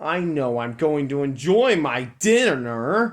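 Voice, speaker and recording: Putting on a character voice, a man growls at a fairly slow pace with a fairly high pitch. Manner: snarling.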